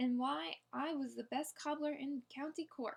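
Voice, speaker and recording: Using a put-on character voice, a woman speaks in a gruff, high-pitched way at a moderate pace. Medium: read story. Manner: gruff, short-tempered.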